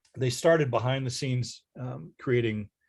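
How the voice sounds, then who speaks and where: A man with an American accent sounds somewhat breathy on a very clean recording with a silent background. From Ohio, Dayton. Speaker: author. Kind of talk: presentation Q&A.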